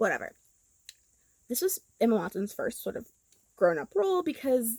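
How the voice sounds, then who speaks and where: Speaking with a Southern Californian accent, a woman keeps a moderate pace. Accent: Valley girl. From Los Angeles, California. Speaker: YouTuber and podcaster. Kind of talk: commentary monologue. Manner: casual, filler-heavy.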